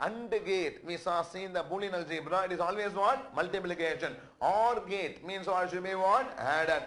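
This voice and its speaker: Over noticeable background noise and audible room echo, a man with a high pitch speaks at a moderate pace with ordinary pitch variation and hardly any pauses. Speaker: accountancy lecturer. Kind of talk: lecture. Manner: repetitive call-and-response questioning.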